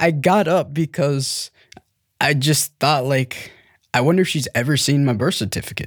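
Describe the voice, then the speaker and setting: A man talks at a moderate pace with a General American accent, in a normal speaking voice. His pitch is fairly high, with ordinary pitch variation. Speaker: adoptee telling his story. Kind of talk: scripted narration.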